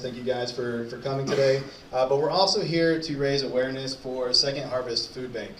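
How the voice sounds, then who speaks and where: Very fast and with fairly even intonation, a man of medium pitch speaks through audible room echo and noticeable background noise. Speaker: event emcee. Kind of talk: event hosting.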